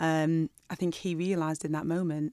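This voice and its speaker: A woman with a Lancashire accent speaks at a moderate pace and fairly low pitch in a monotone, flat intonation, on a very clean recording with a silent background and a dry, close sound with no echo. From northern England, Burnley (Lancashire). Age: 40s. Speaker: doctor and TV presenter. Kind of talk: casual interview.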